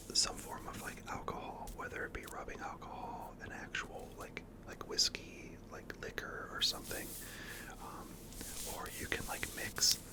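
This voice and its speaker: The speaker whispers at a fairly slow pace. Noticeable background noise can be heard. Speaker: ASMR creator. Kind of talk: ASMR whisper talk to camera. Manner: whispered.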